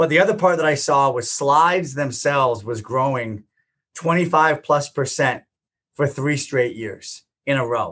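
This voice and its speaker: A man's plain, everyday voice, fairly high in pitch with ordinary pitch variation, at a fairly slow pace against a quiet background. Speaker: entrepreneur and company founder. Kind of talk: interview.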